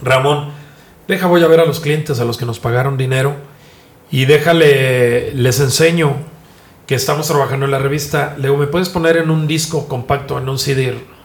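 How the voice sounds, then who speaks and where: Over audible room echo, a man talks fairly quickly in a fairly high, somewhat breathy voice with fairly even intonation. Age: 50s. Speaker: journalist and digital media founder. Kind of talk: interview.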